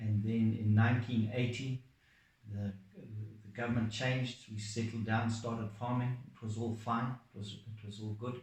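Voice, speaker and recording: The voice is somewhat breathy, moving at a moderate pace with monotone, flat intonation. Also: man, medium pitch for a man. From Zimbabwe. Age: 60s. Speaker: farmer. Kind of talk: testimony.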